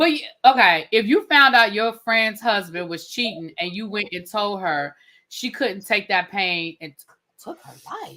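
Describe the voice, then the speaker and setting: With a DC accent, a woman talks in a bright, sharp tone, her intonation lively and her loudness swinging widely. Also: medium pitch for a woman, fairly slow pace. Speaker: TV review livestream host. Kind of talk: casual chat. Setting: live stream panel. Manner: animated.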